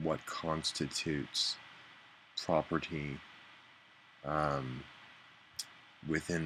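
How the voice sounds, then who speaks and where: Mumbling at a very slow pace, a man with a very deep, low voice speaks in a monotone, flat intonation. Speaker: vlogger. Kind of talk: casual video diary. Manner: halting, mumbling.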